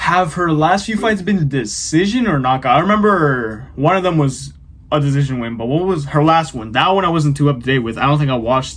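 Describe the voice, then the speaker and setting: A man with a fairly high voice talks at a fairly quick clip with lively intonation and hardly any pauses, over noticeable background noise. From Mexican heritage. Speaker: boxing YouTuber. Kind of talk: casual chat.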